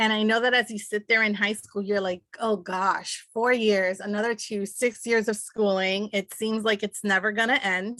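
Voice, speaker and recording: With a bright, sharp tone and a fairly high pitch, a woman talks at a moderate pace in a monotone, flat way with hardly any pauses. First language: Spanish. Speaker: speech-language pathologist. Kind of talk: panel talk. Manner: halting, many fillers.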